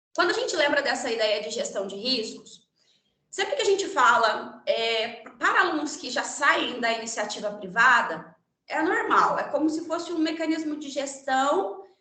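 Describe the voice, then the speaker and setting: Amid audible room echo, a woman speaks at a high pitch with very wide pitch swings. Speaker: lawyer and guest lecturer. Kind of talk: lecture. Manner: fast.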